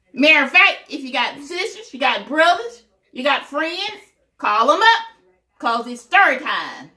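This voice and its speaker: A woman's high, bright, sharp voice, raised and projected, at a fairly slow pace with very wide pitch swings and big swings in loudness. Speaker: storytelling grandmother. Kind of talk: reading aloud to children. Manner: animated.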